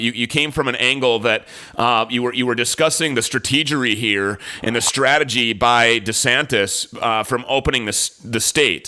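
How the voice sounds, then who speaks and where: The pitch rises and falls in an ordinary way. The speaker is a man. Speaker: radio talk show host. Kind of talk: radio talk show. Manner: fast when excited.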